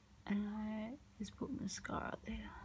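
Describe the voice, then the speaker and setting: Soft-spoken and very slow, a woman talks over noticeable background noise. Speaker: ASMR creator. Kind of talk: soft-spoken makeup get-ready-with-me video. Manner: soft-spoken, quiet. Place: home room. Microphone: phone near.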